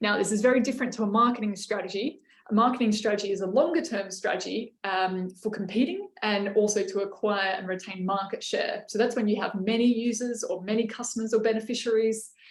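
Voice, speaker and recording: A woman's fairly high voice at a very fast pace, with hardly any pauses. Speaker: workshop facilitator. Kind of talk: online workshop presentation. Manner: many filler words.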